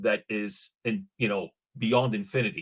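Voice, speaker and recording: Recorded with a dry, close sound and no echo, a man talks at a moderate pace with lively intonation. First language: not English. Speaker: blockchain startup founder. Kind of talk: panel discussion. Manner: halting, many fillers and repeats.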